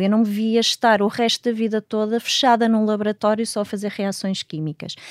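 Speaking fairly quickly, a woman at a medium pitch has an ordinary speaking voice, captured in a very clean recording with a silent background and a dry, close sound with no echo. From Portugal. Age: 40s. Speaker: astrobiologist and professor. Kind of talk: interview.

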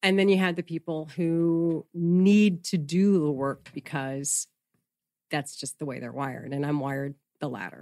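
A woman's very deep, low, dark and mellow voice with ordinary pitch variation, in a dry, close sound with no echo. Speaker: news anchor and reporter. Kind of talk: casual interview chat.

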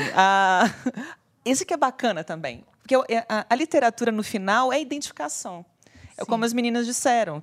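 A woman with a plain, everyday voice and a fairly high pitch speaks at a moderate pace with lively intonation. Her loudness swings widely in a very clean recording with a silent background. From moved around Brazil (Maranhão, Pará, Brasília, Vitória). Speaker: podcast co-host. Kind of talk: casual chat.

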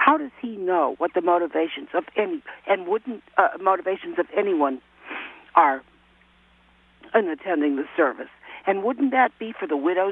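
At a moderate pace and medium pitch, a woman speaks with very wide pitch swings over noticeable background noise. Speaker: caller. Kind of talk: casual chat. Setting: phone call. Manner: animated.

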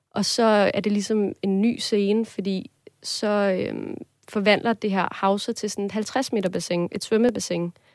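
Speaking at a fairly slow pace, a woman keeps a monotone, flat intonation at medium pitch on a very clean recording with a silent background. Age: 20s. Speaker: student, listener sharing a dream. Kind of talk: casual interview conversation. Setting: studio.

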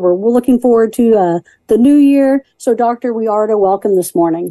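A woman speaks with a fairly high pitch, ordinary pitch variation and a dark, mellow tone in an American accent. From Danville, Illinois. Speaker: radio host. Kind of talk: interview.

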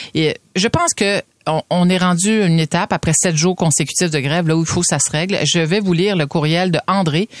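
In an ordinary speaking voice, a woman with a fairly low pitch and ordinary pitch variation talks at a moderate pace, with a dry, close sound with no echo. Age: 50s. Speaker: radio host. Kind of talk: radio commentary.

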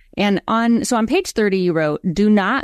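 With an ordinary speaking voice, a woman speaks fairly slowly with lively intonation, the sound dry and close with no echo. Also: quiet background. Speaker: podcast host. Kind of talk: interview.

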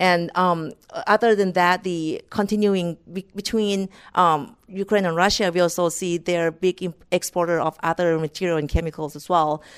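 A woman's fairly low pitch at a moderate pace, with fairly even intonation and a dry, close sound with no echo. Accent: Thai. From rural northeast Thailand, Mekong River. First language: Thai. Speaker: corporate economist. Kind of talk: interview. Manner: halting.

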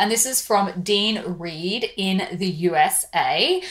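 There is noticeable background noise as a woman speaks in an Australian accent. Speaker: beauty podcast host. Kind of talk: scripted-style podcast monologue.

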